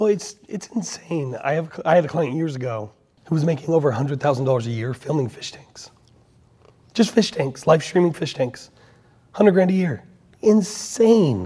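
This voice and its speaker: Speaking with an American accent at a moderate pace, a man has a fairly high pitch and a dark, mellow tone. His voice shows very wide pitch swings and big swings in loudness. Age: 40s. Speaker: podcast host. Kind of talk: casual interview conversation. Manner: animated.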